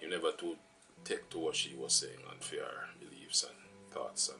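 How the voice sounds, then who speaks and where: Moderate-paced speech from a man, backed by music. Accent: Jamaican. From Jamaica. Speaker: vlogger. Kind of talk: personal storytelling vlog. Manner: casual, many fillers.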